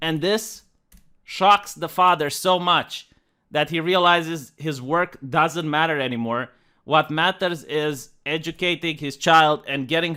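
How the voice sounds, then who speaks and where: In a Romanian accent, a bright, sharp voice speaks fairly slowly with fairly even intonation on a very clean recording with a silent background. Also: man. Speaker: video commentator. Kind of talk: video commentary.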